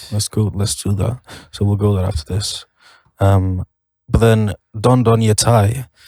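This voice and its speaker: A man speaks at a fairly slow pace with long, frequent pauses, in a dark, mellow, somewhat breathy voice. His pitch is fairly low with fairly even intonation, and the sound is dry and close with no echo. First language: not English. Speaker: band member podcast host. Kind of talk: casual chat.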